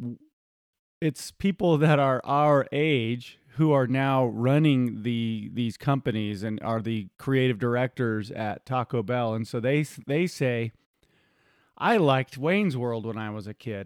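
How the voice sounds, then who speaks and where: This is a normal speaking voice at a fairly slow pace with ordinary pitch variation. The sound is dry and close with no echo. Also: man, medium pitch for a man. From US, hunting family. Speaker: podcast co-host. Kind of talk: casual chat.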